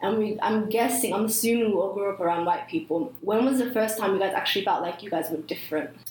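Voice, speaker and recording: Lively intonation marks a woman's fairly high voice, with audible room echo and noticeable background noise. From New Zealand. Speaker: podcast host. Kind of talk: casual chat.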